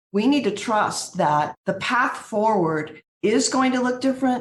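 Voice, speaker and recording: A woman speaks with a plain, everyday voice. Her intonation is lively. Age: 60s. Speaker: utility executive. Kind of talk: podcast interview.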